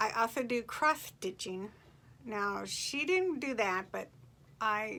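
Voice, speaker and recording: A woman speaks very slowly at a fairly high pitch in a bright, sharp tone. The recording is very clean, with a silent background. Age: 60s. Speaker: farm wife and fiber crafter. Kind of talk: casual vlog introduction. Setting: home, quilting in background.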